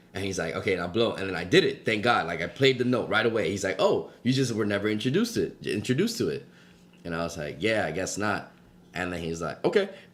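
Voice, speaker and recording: Here a man has an American accent and a fairly low pitch. He talks very fast with lively intonation. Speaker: podcast co-host. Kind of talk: casual chat.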